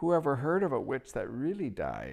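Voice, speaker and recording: A man's put-on character voice, whiny and shrill, at a moderate pace over a quiet background. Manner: fawning, wheedling.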